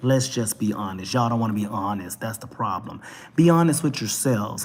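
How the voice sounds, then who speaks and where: Here a man speaks at medium pitch and a fairly quick pace. His pitch variation is ordinary. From Texas, Dallas. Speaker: talk show vlogger. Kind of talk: opinion rant monologue. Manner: animated.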